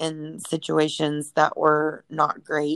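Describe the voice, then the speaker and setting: A woman talks at a very slow pace, her pitch very deep and low. The recording is very clean with a silent background, and the sound is dry and close with no echo. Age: 30s. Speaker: podcast co-host. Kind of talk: casual chat.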